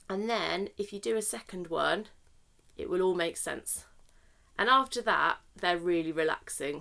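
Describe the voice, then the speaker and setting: A woman speaks with a British accent and a bright, sharp tone. Her pace is fairly slow, with lively intonation. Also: medium pitch for a woman. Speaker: therapeutic crafts facilitator. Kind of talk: tutorial.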